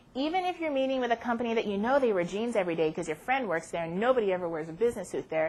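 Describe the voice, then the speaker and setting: A woman's fairly high voice with an American accent and very wide pitch swings. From Southern California. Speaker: career services advisor. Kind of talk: workshop presentation. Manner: fast.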